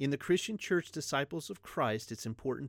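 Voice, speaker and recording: On a very clean recording with a silent background, a man with a plain, everyday voice speaks at a medium pitch with lively intonation. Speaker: pastor. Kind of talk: religious teaching podcast.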